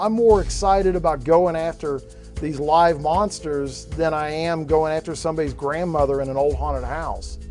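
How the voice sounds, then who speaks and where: Over music in the background, a man talks at a moderate pace in an American accent. His pitch is fairly high and his intonation fairly even. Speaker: haunted house owner. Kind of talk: reality TV interview.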